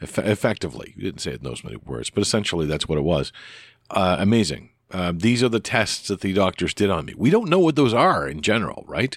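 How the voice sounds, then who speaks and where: A man's fairly low voice with vocal fry and very wide pitch swings, very fast, on a very clean recording with a silent background. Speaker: podcast host. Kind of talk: solo casual podcast monologue. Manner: rambling, hesitant, with many fillers.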